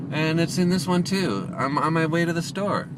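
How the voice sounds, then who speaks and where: A man with a high pitch talks at a moderate pace. Room echo and background noise are both noticeable. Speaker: self-help motivational vlogger. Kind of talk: motivational monologue vlog. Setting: in a car, driving. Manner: loud; animated.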